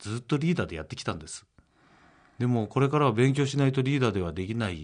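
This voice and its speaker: A man's medium-pitched voice at a fairly quick pace against a quiet background. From Gunma, Japan. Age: 50s. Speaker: company president. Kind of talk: radio interview. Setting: studio.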